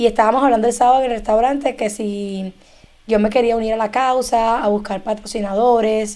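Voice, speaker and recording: A woman in a Cuban accent talks at a fairly quick pace with a fairly high pitch, a dark, mellow tone and monotone, flat intonation. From Cuba, Havana. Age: 30s. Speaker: immigration and tax document preparer. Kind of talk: casual chat.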